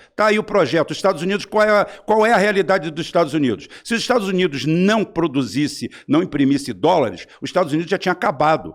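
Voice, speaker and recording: Talking at a very fast pace with hardly any pauses, a man uses a high pitch and lively intonation. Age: 60s. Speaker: political commentator. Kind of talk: heated debate. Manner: animated.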